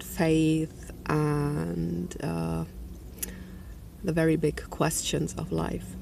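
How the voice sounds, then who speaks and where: A woman's very deep, low voice with a non-native accent and very wide pitch swings, plus audible room echo and noticeable background noise. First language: not English. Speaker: energy healer and spiritual vlogger. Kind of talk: personal video diary monologue. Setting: outdoors. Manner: halting, many fillers.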